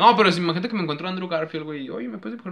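The intonation is lively. Noticeable background noise sits behind the voice. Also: man. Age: 20s. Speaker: podcast host. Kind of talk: casual chat.

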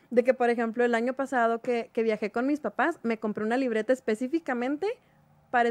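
A woman speaks in an ordinary speaking voice at a fairly high pitch. Her intonation is fairly even, her pace fairly quick, and the background quiet. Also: dry, close sound with no echo. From Mexico, Chihuahua. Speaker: writer. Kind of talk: radio interview. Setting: studio.

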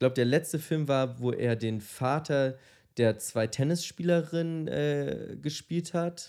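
A man's dark, mellow tone at a fairly slow pace. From Germany, Munich. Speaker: podcast co-host. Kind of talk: casual chat. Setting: studio.

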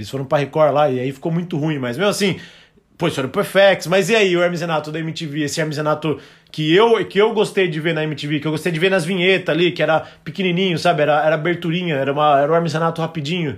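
A man rattles along at a very fast pace. His fairly high voice varies in pitch in an ordinary way. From Brazil. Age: 30s. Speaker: podcast host. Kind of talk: casual chat.

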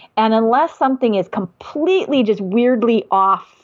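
A woman speaks with an Upper Midwest accent at a moderate pace. Her pitch rises and falls in an ordinary way. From Wisconsin, US. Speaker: diabetes educator. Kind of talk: casual conversation.

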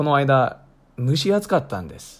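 Very clean recording, silent background, a man's voice. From United States. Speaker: podcast host. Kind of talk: scripted narration; interview.

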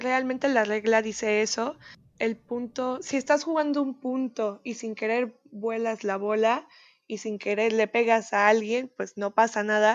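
Fairly slow, fairly even speech from a woman with a fairly high pitch. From Mexico, raised in the US from age 8. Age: 20s. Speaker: tennis player. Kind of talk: interview.

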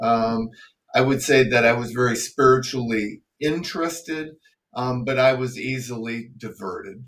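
A man's plain, everyday voice at a fairly slow pace, with ordinary pitch variation. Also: medium pitch for a man. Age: 60s. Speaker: retired pharmacist. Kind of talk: casual interview.

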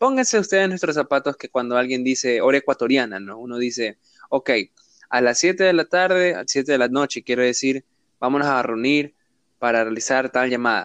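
A man with a plain, everyday voice speaks at medium pitch and a moderate pace. The background is quiet, and the sound is dry and close with no echo. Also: ordinary pitch variation. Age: 20s. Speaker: podcast host. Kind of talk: casual chat.

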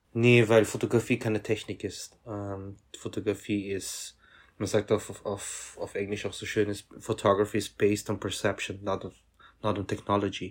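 Somewhat breathy and fairly low in pitch, a man talks at a moderate pace in a monotone, flat intonation, recorded very cleanly against a silent background. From Austria, Vienna. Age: 30s. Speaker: fashion photographer. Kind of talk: interview.

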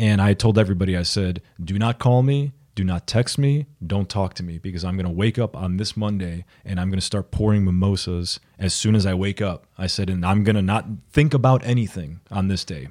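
A plain, everyday voice with ordinary pitch variation, moving at a fairly quick pace with hardly any pauses. The sound is dry and close with no echo, on a very clean recording against a silent background. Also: man, fairly low pitch for a man. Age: 30s. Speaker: music artist manager. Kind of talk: casual chat.

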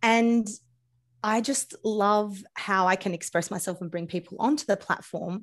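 A woman speaks with an Australian accent. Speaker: podcast host and food coach. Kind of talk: casual interview conversation. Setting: video call across time zones. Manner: humorous, chatty.

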